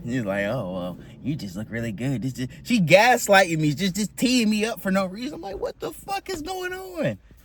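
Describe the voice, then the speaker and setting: Over noticeable background noise, a man talks in an animated tone with hardly any pauses. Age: 20s. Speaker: correctional officer and army recruit vlogger. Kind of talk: casual storytelling vlog. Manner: fast.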